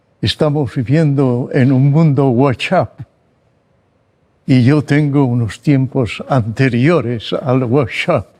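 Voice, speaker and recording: A man with a dark, mellow tone speaks at a very slow pace and a very even loudness. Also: medium pitch for a man, ordinary pitch variation. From Spain, Barcelona. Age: 90s. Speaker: psychologist. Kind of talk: interview.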